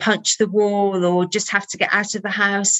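Speaking at a moderate pace and medium pitch, a woman has a slight Birmingham accent. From Birmingham, England. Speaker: holistic therapy trainer and author. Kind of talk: interview.

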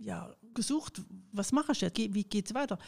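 A woman speaks at a medium pitch with ordinary pitch variation. Her voice carries vocal fry. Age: 60s. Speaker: retired trade union official. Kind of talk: interview.

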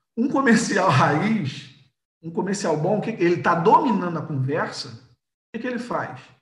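A man with a high pitch and lively intonation talks amid audible room echo. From Rio de Janeiro, Brazil. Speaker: entrepreneur and sales expert. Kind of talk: casual interview, live stream.

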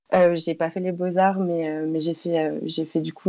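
A woman's fairly low-pitched voice with monotone, flat intonation. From Toulouse, southern France. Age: 20s. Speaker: illustrator. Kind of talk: interview. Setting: remote call via Discord.

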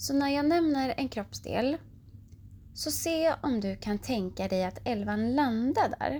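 A woman talks at a very slow pace and fairly high pitch, with a soothing, gentle tone, a dark, mellow tone and lively intonation. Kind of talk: guided meditation (yoga nidra) for children at bedtime. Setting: bedtime audio. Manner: slow, soothing and gentle, with long pauses between body parts; calm, warm and reassuring, speaking directly to the child.

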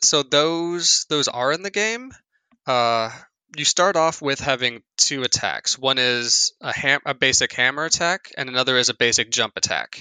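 Speaking at a moderate pace with an American accent, a man has a plain, everyday voice, fairly high pitch and ordinary pitch variation. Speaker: video game podcast co-host. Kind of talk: casual chat.

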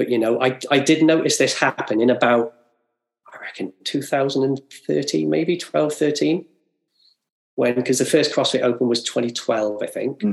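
At a fairly slow pace, a man talks in a medium pitch with vocal fry and ordinary pitch variation. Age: 40s. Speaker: fitness coach. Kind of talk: casual chat.

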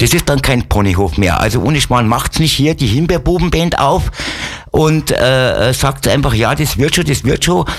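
A man speaks with lively intonation and vocal fry, his loudness staying very even throughout. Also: medium pitch for a man, moderate pace. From Upper Bavaria (Wolfratshausen). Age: 60s. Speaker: musician and sled dog musher. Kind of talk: casual interview chat. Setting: radio studio.

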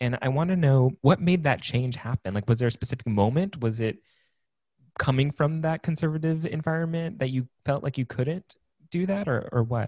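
A man with a fairly high pitch, somewhat breathy with a dark, mellow tone, ordinary pitch variation and a moderate pace. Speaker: podcast host. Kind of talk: casual interview chat.

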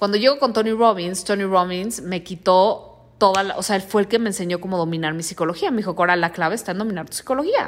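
In a Mexican accent, a woman talks at a very fast pace with hardly any pauses, her tone animated, her pitch medium with ordinary variation. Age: 30s. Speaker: podcast host and life coach. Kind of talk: motivational monologue.

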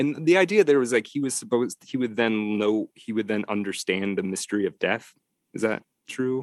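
In an American accent, a man with an ordinary speaking voice talks at a fairly quick pace, using a medium pitch and ordinary pitch variation. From Detroit, US Midwest. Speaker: novelist. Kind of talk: interview conversation.

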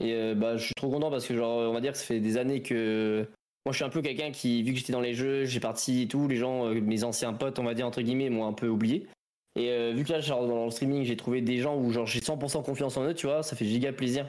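An ordinary speaking voice: a man at medium pitch and a fairly quick pace, with fairly even intonation and very even loudness. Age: 20s. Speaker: streamer. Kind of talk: casual chat.

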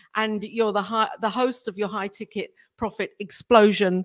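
A woman speaks at a medium pitch and a moderate pace. The sound is dry and close, with no echo. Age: 60s. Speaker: talk show host. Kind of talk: interview. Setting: live video stream. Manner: animated.

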